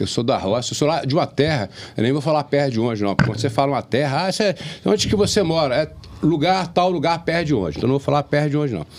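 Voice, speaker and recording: Talking at a very fast pace, a man uses lively intonation in a fairly high pitch over noticeable background noise. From Brazil, Jiquiriçá area, Bahia countryside. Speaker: podcast host. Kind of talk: casual chat.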